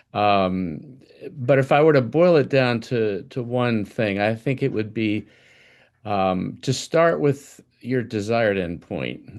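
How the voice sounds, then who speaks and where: Over a quiet background, a man at medium pitch speaks at a very slow pace with lively intonation. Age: 70s. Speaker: dentist, practice owner. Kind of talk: live podcast guest sharing. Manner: hesitant, many ums.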